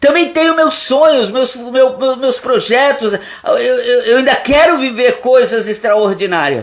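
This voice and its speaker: Pitched extremely high, a man talks fairly slowly with ordinary pitch variation and hardly any pauses. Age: 60s. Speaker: pastor. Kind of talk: sermon. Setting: live stream.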